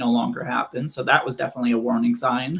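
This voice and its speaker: Here a man speaks at a very fast pace in a medium pitch. His voice is somewhat breathy, with ordinary pitch variation. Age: 20s. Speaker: AVM survivor. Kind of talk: interview.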